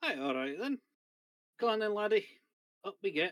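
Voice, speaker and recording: The voice is a put-on character. It is pitched fairly high. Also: moderate pace. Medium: actual play.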